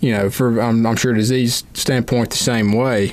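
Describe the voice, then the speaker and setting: Over noticeable background noise, someone in a Mississippi accent talks at a moderate pace with ordinary pitch variation. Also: man. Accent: US South, Mississippi. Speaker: extension entomologist, podcast host. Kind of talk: casual interview chat.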